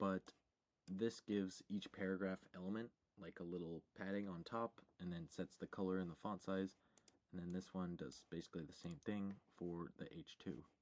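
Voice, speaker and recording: Soft-spoken and very deep, a man talks at a moderate pace in a dry, close sound with no echo. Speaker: programming tutorial youtuber. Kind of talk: screen-share coding tutorial. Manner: quiet, talking very softly; casual, with fillers.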